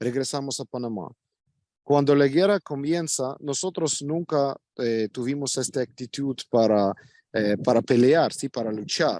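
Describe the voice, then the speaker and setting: Against a quiet background, a man with a Russian accent speaks at a fairly slow pace in a fairly high voice with ordinary pitch variation, the sound dry and close with no echo. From Ukraine. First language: Russian (speaking Spanish). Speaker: Ukrainian expatriate interviewee. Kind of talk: interview. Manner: halting, with many fillers.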